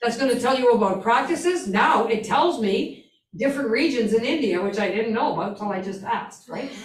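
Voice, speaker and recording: Audible room echo surrounds a fairly quick delivery with lively intonation. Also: woman. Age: old. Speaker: instructor. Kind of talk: lecture.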